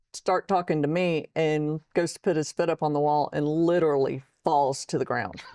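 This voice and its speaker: A dark, mellow tone in a Texan accent at a moderate pace, with fairly even intonation, very even loudness, and a dry, close sound with no echo over a quiet background. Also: woman, very deep, low pitch for a woman. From Texas. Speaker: military veteran and author. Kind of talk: interview testimony.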